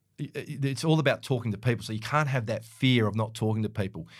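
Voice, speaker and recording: In an Australian accent, a man speaks at a medium pitch with ordinary pitch variation. The recording is very clean, with a silent background. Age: 50s. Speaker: real estate coach and former CEO. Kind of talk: interview. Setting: studio.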